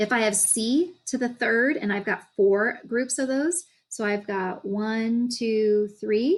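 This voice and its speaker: At a very slow pace with hardly any pauses, a woman talks at a fairly high pitch with ordinary pitch variation. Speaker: math teacher. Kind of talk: recorded lesson video. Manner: halting.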